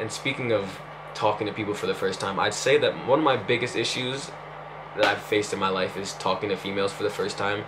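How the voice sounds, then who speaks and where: Audible room echo surrounds a voice that moves at a very fast pace with ordinary pitch variation. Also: man, fairly low pitch for a man. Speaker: vlogger. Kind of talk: personal vlog confession. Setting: talking to camera. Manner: halting.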